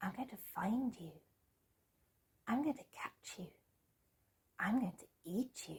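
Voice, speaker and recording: A put-on, whiny character voice, female-sounding and fairly high in pitch, at a fairly slow pace with long, frequent pauses. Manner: whining, threatening.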